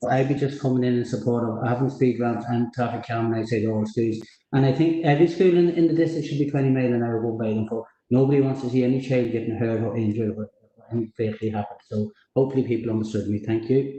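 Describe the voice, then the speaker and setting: Talking at a very fast pace, a man with a medium pitch and a dark, mellow tone keeps his intonation fairly even. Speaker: local councillor. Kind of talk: council meeting debate.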